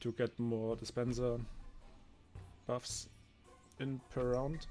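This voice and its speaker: Music plays in the background as a man talks at a very slow pace. His pitch is medium for a man. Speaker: gaming video creator. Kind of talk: gameplay commentary. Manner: casual with fillers.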